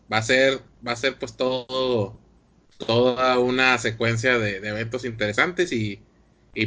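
A man speaks with a Mexican accent at a medium pitch. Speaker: podcast host. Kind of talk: casual chat.

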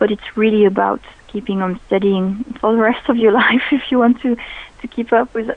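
At a moderate pace, a woman speaks at medium pitch with a French accent. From France. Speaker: sommelier. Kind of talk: radio interview. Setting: phone call.

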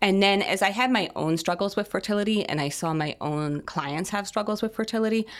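A woman with a plain, everyday voice and an American accent, at a fairly quick pace with ordinary pitch variation. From US, Italian American family. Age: 40s. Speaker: functional medicine nutritionist and fertility coach. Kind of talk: interview.

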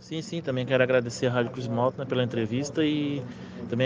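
Noticeable background noise behind a man's medium-pitched voice with fairly even intonation. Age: 30s. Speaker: underground welder. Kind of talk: interview.

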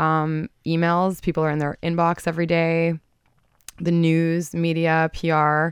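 A woman talks in a very deep, low pitch against a quiet background. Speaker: marketing consultant. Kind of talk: radio interview. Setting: studio.

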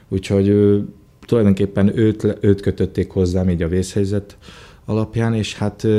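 A man's very deep, low pitch carries a dark, mellow tone. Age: 30s. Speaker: actor and voice dubbing artist. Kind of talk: interview.

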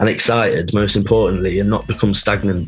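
The speech comes very fast in an East Midlands accent with fairly even intonation. Noticeable background noise is present. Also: man. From Nottingham, England. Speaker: DJ and record label founder. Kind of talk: casual interview.

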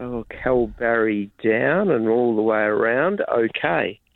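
A man with an Australian accent speaks at a very slow pace and medium pitch. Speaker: wildflower reporter. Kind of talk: radio interview. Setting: remote line into radio studio.

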